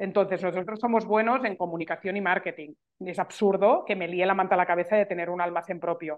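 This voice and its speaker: Here a woman talks at a very fast pace. Her pitch sits in the medium range. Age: 40s. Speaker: entrepreneur, journalist. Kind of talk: casual interview. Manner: animated.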